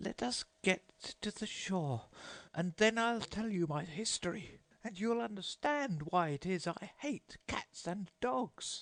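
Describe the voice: A man's put-on character voice, high-pitched and shaky, at a fairly slow pace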